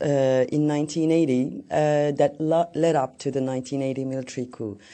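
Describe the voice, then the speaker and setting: In a Turkish accent, a woman speaks at a moderate pace with a very deep, low pitch. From Turkey. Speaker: journalist and novelist. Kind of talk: talk.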